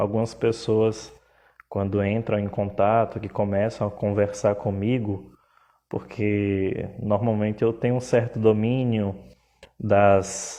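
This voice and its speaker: A man with a Pernambuco accent speaks very slowly in a fairly low pitch, his tone dark and mellow and his intonation monotone and flat. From Pernambuco, northeast Brazil. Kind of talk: live stream talk. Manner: hesitant, filler words.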